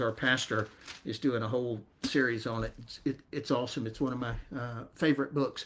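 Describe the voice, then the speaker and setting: Someone talks with a Southern US accent at a moderate pace. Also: man. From US South, north Florida. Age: 60s. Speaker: network marketing distributor. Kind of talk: testimony. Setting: livestream.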